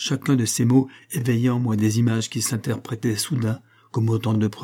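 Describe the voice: A passage in plain reading aloud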